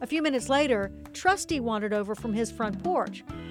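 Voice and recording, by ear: Someone reads aloud here in a natural voice.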